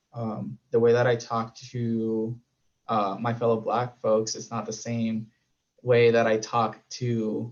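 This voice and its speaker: Slowly, very slowly, a man speaks at a medium pitch with a Spanish accent. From Puerto Rico. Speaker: panelist. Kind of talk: panel discussion.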